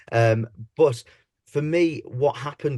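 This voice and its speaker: A man speaks with an East Midlands accent in a dark, mellow tone. His voice is somewhat breathy, with ordinary pitch variation. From English Midlands, Leicester. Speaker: pantomime dame and comedian. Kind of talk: podcast interview.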